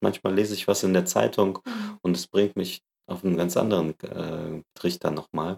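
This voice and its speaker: The recording has a dry, close sound with no echo as a man speaks at a fairly slow pace and fairly low pitch. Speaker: podcast host and organisational consultant. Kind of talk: casual interview.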